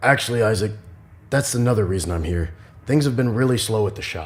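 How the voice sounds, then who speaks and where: A man uses a put-on character voice, raspy and at medium pitch. He races along at a very fast pace with ordinary pitch variation. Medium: audio drama.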